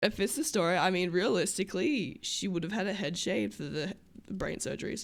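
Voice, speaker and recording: Fairly quick speech in an Australian accent, with lively intonation and vocal fry. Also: woman, medium pitch for a woman. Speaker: streamer playing a roleplay character. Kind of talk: casual livestream chat.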